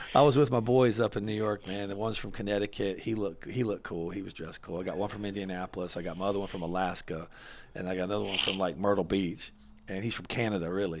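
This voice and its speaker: Fairly low in pitch, this man speaks with a Southern US accent. His pace is very fast. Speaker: podcast host. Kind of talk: casual interview chat. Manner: animated.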